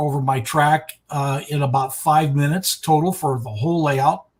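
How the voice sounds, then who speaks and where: The man's voice sits fairly high, sounds somewhat breathy, and keeps fairly even intonation. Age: 70s. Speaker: retired art teacher and model railroader. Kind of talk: interview. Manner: halting, many repetitions.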